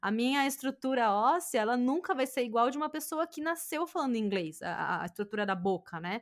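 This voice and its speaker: A woman's high voice with very wide pitch swings at a fairly quick pace with hardly any pauses, on a very clean recording with a silent background. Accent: Brazilian. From Brazil. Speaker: podcast host. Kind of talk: casual chat.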